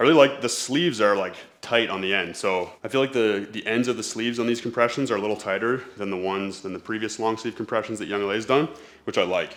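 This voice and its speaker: A man with a medium pitch and a Canadian accent talks at a very fast pace on a very clean recording with a silent background. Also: ordinary pitch variation. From Canada. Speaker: fitness YouTuber and coach. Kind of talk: try-on haul video. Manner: casual.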